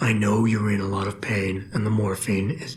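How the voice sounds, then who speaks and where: A man puts on a raspy character voice at a fairly low pitch. He talks at a moderate pace with fairly even intonation over clear background noise. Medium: video game. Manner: low, calm, measured.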